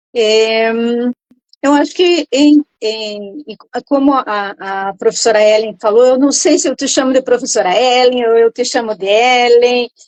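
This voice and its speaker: Speaking at a fairly slow pace, a woman has a high-pitched voice. Her pitch varies in an ordinary way. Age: 60s. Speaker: retired teacher, program participant. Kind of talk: interview testimony. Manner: halting, many repetitions.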